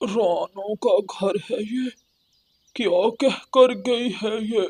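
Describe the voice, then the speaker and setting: Using a cartoonish character voice, a man speaks high-pitched and fairly slowly. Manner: dismissive, careless.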